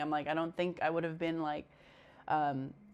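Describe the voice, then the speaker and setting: Music plays in the background while someone talks at a moderate pace. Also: woman. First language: Spanish. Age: 30s. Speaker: podcast host. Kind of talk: casual chat. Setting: guest's home. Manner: halting, repeats words.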